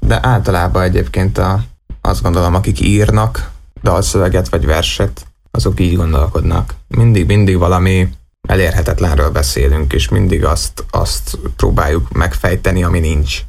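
A man speaks with a very deep, low pitch and lively intonation at a moderate pace. His loudness stays very even, and the room echo is audible. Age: 20s. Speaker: actor and singer. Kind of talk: casual chat.

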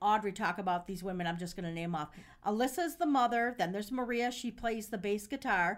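Talking at a fairly quick pace, a woman with an unremarkable speaking voice uses lively intonation. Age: 50s. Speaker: podcast host and caterer. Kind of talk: casual chat. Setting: studio.

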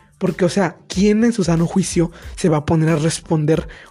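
Over music in the background, a man talks at a moderate pace in a high pitch with fairly even intonation. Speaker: student podcaster. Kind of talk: casual chat. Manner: halting.

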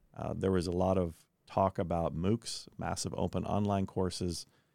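A man's very deep, low voice in a US Midwestern accent, with monotone, flat intonation. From Kansas, US Midwest. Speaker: education technology founder. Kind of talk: interview.

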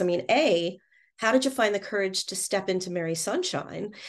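Over a quiet background, a woman speaks at a moderate pace and medium pitch in a plain, everyday voice. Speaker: podcast host. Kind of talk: casual interview chat.

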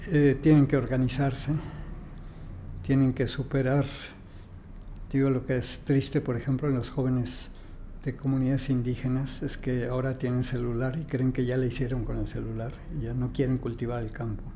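The speaker talks at a moderate pace in a flat monotone, with long, frequent pauses and audible room echo. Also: man, medium pitch for a man. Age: 80s+. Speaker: architect and housing expert. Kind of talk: interview conversation. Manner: halting, many repetitions.

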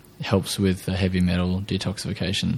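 In an Australian accent, a man with a dark, mellow tone speaks at a moderate pace. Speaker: podcast host. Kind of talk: casual interview chat.

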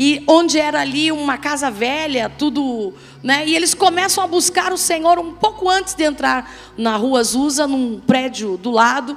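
A woman speaks at a high pitch with lively intonation. Her pace is moderate, with noticeable background noise behind her. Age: middle-aged. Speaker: pastor. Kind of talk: sermon. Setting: church.

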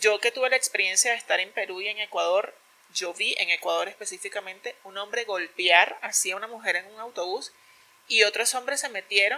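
Lively, fairly high-pitched speech from a woman at a moderate pace, with noticeable background noise. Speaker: podcast co-host. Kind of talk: casual chat.

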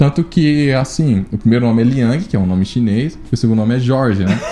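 Noticeable background noise sits behind a man of medium pitch. He speaks at a fairly quick pace with ordinary pitch variation. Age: 20s. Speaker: biologist and company CEO. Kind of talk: casual chat.

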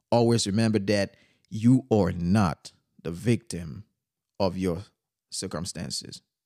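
On a very clean recording with a silent background and a dry, close sound with no echo, a man speaks very slowly in a fairly low voice with a dark, mellow tone and ordinary pitch variation. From Haiti. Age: young. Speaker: podcast host. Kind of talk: motivational monologue.

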